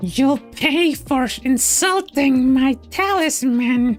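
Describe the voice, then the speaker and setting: A put-on character voice, high-pitched and very slow, over clear background music. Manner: indignant, threatening.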